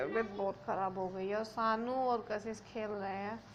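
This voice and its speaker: A woman's fairly high voice at a moderate pace. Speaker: family vlogger. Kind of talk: casual vlog.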